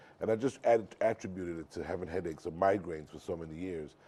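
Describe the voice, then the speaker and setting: Very fast speech comes from a man with a very deep, low pitch, a dark, mellow tone, vocal fry and ordinary pitch variation. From born in New York, grew up in Ghana. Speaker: painter and former radio DJ. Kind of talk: radio interview answer.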